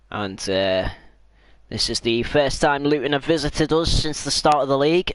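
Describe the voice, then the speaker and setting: The recording has a dry, close sound with no echo as a man with a medium pitch and a normal speaking voice talks at a moderate pace. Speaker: gaming streamer. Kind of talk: live gameplay commentary.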